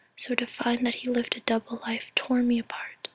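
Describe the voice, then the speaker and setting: A woman's whisper in a sad tone, dry and close with no echo. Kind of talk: casual talk to camera, personal vlog. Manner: slow, sad, reflective.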